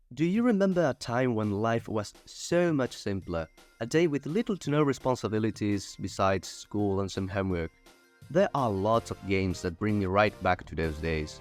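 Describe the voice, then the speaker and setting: Over music in the background, a man with a fairly low pitch speaks at a moderate pace with very wide pitch swings. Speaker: video essayist. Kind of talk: video essay narration. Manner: casual, humorous.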